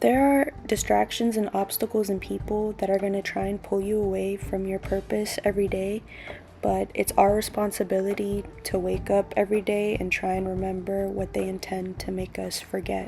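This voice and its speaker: Fairly even intonation carries over noticeable background noise. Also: woman, medium pitch for a woman, moderate pace. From Southern Africa. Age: 20s. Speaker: recent university graduate. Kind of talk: personal vlog narration to camera.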